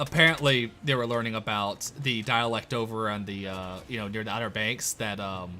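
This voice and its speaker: Speaking at a moderate pace with hardly any pauses, a man with an American accent has a bright, sharp tone, a medium pitch and ordinary pitch variation. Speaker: gaming livestreamer. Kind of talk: casual chat.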